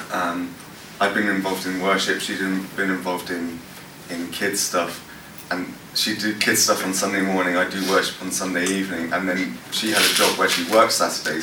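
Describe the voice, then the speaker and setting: Over noticeable background noise, a man with a London accent speaks in a very deep, low pitch. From West London, England. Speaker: worship pastor. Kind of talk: workshop talk with Q&A. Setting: stage with audience. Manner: casual, halting with many fillers.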